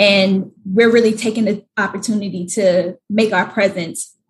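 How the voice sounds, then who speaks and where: Somewhat breathy and medium in pitch, a woman speaks at a fairly slow pace with fairly even intonation. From Atlanta, US South. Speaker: startup banker. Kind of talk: interview.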